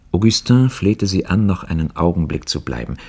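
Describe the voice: Here a speaker does plain reading aloud.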